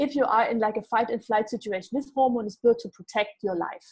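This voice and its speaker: Against a quiet background, a dark, mellow voice moves at a fairly quick pace with ordinary pitch variation. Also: woman. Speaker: gut health expert. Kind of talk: casual interview. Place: home room. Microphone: earbuds.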